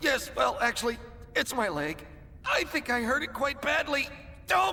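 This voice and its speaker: A man speaks at a moderate pace in a cartoonish character voice, loud and extremely high-pitched. Clear background noise runs behind him. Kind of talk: comic overacting. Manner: loud, boastful, theatrical.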